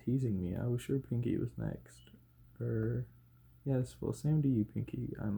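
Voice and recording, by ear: With ordinary pitch variation, a speaker reads aloud in a natural voice.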